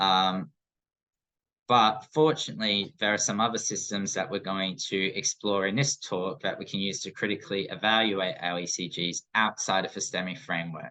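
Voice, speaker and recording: Against a quiet background, the voice has a bright, sharp tone and ordinary pitch variation. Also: man, fairly low pitch for a man. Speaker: paramedic educator. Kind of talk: recorded lecture. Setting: screen-recorded presentation. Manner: fast.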